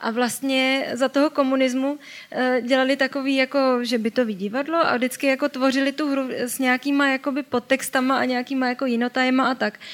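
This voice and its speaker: Her intonation monotone and flat, a woman talks at a fairly quick pace in a high pitch. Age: 20s. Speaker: journalist. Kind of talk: talk show interview.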